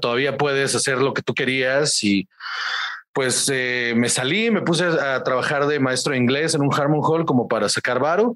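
A man with a normal speaking voice, fairly high pitch, ordinary pitch variation and a moderate pace. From Guaymas, Sonora, northern Mexico. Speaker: stand-up comedian. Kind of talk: casual interview.

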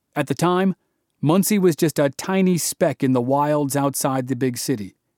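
In a very clean recording with a silent background, a man uses a normal speaking voice with lively intonation at a moderate pace. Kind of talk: true-crime history narration. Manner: measured, steady storyteller's pace, building tension in the action scenes; clear and formal, with an even documentary tone.

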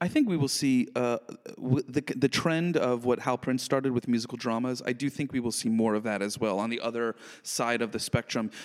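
At a fairly quick pace, an ordinary speaking voice delivers fairly even intonation, with a dry, close sound with no echo. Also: man, medium pitch for a man. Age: 30s. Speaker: podcast co-host. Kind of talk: casual chat.

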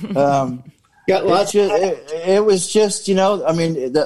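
A man with an ordinary speaking voice uses lively intonation at a fairly slow pace over a quiet background. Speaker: band drummer. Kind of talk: casual chat. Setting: video call.

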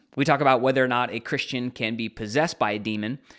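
Over a silent background in a very clean recording, a man with an unremarkable speaking voice talks at medium pitch with ordinary pitch variation. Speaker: podcast host. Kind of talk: casual chat. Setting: studio.

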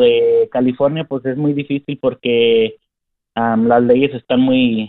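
The man talks at a very slow pace in a monotone, flat delivery. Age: 20s. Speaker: tree worker and caller. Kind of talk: phone call-in question. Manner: halting.

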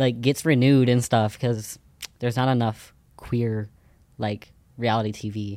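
A man with an American accent speaks in a dark, mellow tone at a medium pitch, using monotone, flat intonation at a moderate pace with long, frequent pauses. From Ohio. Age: young. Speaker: social media creator. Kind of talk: casual chat.

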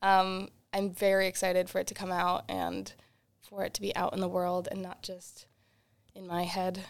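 A woman with an ordinary speaking voice, medium in pitch with fairly even intonation, in a very clean recording with a silent background. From Boston, US. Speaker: singer-songwriter. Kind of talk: radio interview.

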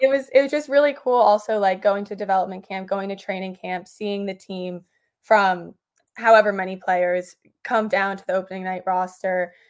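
A woman in an American accent with an ordinary speaking voice, medium pitch, ordinary pitch variation and big swings in loudness, at a moderate pace, on a very clean recording with a silent background. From New York City. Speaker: hockey journalist. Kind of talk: casual interview.

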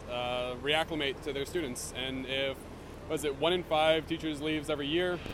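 A man's fairly high voice with noticeable background noise. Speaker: teacher. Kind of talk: protest interview. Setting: outdoors at a protest. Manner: measured, explanatory, filler-heavy.

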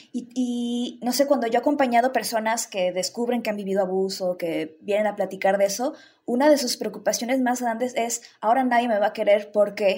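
Fairly high female voice with a dark, mellow tone, ordinary pitch variation, a fairly quick pace and hardly any pauses. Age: 30s. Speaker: sexologist and sex educator. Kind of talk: casual chat.

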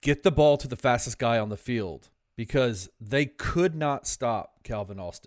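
Heard on a very clean recording with a silent background, a normal speaking voice moves at a fairly slow pace with lively intonation. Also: man. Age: 40s. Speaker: sports podcast co-host. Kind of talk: casual sports chat.

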